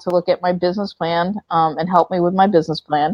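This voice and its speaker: A woman with an American accent and an unremarkable speaking voice talks at a fairly quick pace and medium pitch. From US, Florida (Orlando area). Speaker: entrepreneur, company founder. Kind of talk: interview. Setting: video call.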